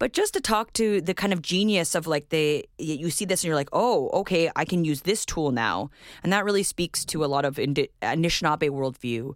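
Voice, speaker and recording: A woman's fairly low-pitched voice, an ordinary speaking voice at a moderate pace with hardly any pauses. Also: lively intonation. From Winnipeg, Manitoba, Canada. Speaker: visual artist. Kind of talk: interview.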